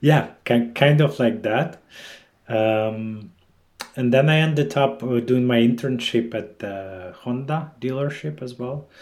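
This man's voice sits at a medium pitch and shows ordinary pitch variation. He speaks at a very slow pace. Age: 30s. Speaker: head of sales. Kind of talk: interview.

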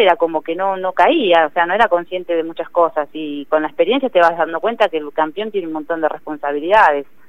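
Speaking at a very fast pace, a woman has a fairly low pitch. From Argentina, Greater Buenos Aires (San Fernando). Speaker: professional boxer. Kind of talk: interview.

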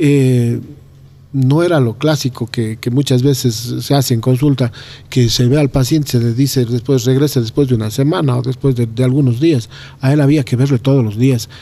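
Delivered at a moderate pace, the voice carries a dark, mellow tone. Its loudness stays very even and its intonation fairly even. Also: man, medium pitch for a man. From Ecuador, Cuenca. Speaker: doctor and neighborhood leader. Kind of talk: interview conversation.

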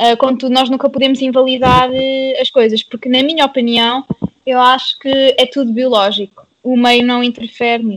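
The woman speaks at a moderate pace. Her voice is high and her intonation is monotone and flat. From Portugal, Pombal. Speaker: podcast guest. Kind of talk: casual chat.

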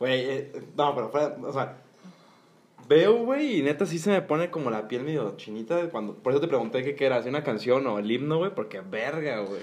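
A man with a normal speaking voice talks at a moderate pace. His pitch is fairly high and his intonation lively. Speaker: podcast host. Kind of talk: casual chat.

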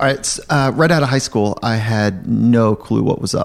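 In an American accent, this is a normal speaking voice with ordinary pitch variation. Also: man. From Southern California. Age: 40s. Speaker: sports psychologist. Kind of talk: interview conversation.

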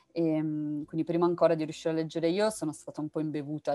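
A woman talks very fast in a very deep, low pitch with a dark, mellow tone and monotone, flat intonation. The sound is dry and close, with no echo. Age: young. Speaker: novelist. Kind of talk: interview. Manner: halting.

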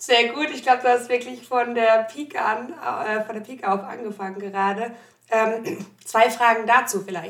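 Her loudness swinging widely, a woman speaks at a moderate pace with a fairly high pitch and ordinary pitch variation. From Odenwald, Germany. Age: 30s. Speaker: company podcast host. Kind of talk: interview. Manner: hesitant, many fillers.

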